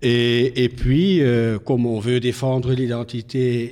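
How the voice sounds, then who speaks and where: A man with a Flemish accent speaks at a medium pitch and a very slow pace. His tone is dark and mellow. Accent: Flemish Dutch accent in French. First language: Dutch (speaking French). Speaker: politician. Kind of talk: TV interview. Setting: TV studio. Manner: halting, many hesitations.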